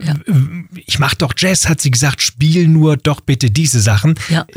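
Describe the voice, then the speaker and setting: A man's somewhat breathy voice at a moderate pace, with a dry, close sound and no echo. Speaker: radio host. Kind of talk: interview.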